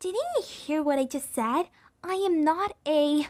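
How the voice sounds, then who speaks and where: Here a woman puts on a character voice. It is high-pitched and fairly slow. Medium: dub.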